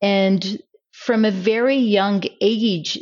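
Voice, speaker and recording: With an Israeli accent, a woman speaks in fairly even intonation. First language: Hebrew. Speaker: diplomat. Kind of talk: interview.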